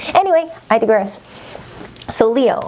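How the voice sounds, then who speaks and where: A woman speaks with lively intonation while noticeable background noise plays behind her. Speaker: tarot reader. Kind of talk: tarot reading to camera. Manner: casual, chatty.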